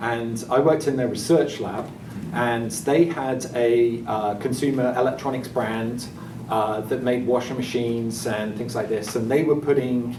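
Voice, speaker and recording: A man of medium pitch talks at a fairly slow pace with fairly even intonation. Noticeable background noise and audible room echo are present. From England. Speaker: tech company engineer. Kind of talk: panel introduction. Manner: halting, many fillers.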